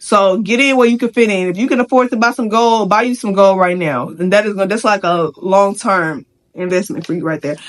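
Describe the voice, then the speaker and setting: Animated and lively in intonation, a woman talks at a fairly quick pace. Her pitch is medium. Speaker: vlogger. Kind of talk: rant. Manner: fast.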